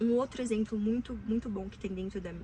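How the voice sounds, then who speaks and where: In an animated tone, a woman with a fairly high pitch speaks at a fairly quick pace. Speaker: self-help video creator. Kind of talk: casual advice monologue. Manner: fast.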